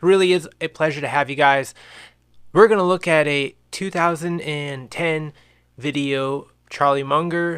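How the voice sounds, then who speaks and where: At a moderate pace, a man talks in an ordinary speaking voice with a fairly high pitch and fairly even intonation on a very clean recording with a silent background. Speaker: YouTube channel host. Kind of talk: casual talk to camera.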